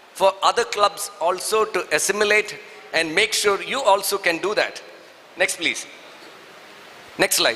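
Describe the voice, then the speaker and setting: A man with a Keralan accent and a high pitch speaks at a fairly slow pace with fairly even intonation and long, frequent pauses over noticeable background noise. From southern India. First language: Malayalam. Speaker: Rotary district leader, seminar speaker. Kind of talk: seminar talk.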